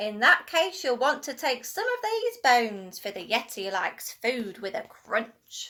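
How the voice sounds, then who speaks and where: A woman does a put-on character voice, high-pitched and growling, with hardly any pauses. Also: moderate pace. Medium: read story. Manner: indignant, growly.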